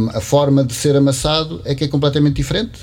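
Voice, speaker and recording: A man's fairly high voice moves at a fairly quick pace against noticeable background noise. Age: 50s. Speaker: potter. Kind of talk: casual chat. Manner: halting.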